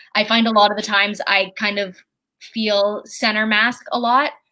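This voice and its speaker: A woman speaks at a moderate pace and fairly high pitch. Her tone is bright and sharp, her intonation fairly even. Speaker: comedian and podcast host. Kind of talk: casual chat.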